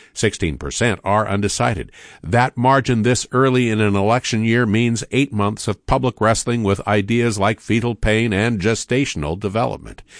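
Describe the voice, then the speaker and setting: In an ordinary speaking voice, a man with a fairly low pitch talks at a moderate pace with hardly any pauses, ordinary pitch variation and very even loudness, the sound dry and close with no echo over a quiet background. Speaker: radio newsreader. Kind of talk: radio newsreading, crisp scripted bulletin read in a steady, authoritative broadcast tone. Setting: studio. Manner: formal, measured, even-paced delivery with serious news-anchor gravity; clear, polished, with no chattiness.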